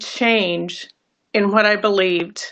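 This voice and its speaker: Against a quiet background, a woman with an American accent talks at a fairly slow pace in a bright, sharp tone, her pitch varying in an ordinary way. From California. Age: 60s. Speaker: voter giving political testimonial. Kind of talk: testimony. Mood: earnest, regretful. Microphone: phone near.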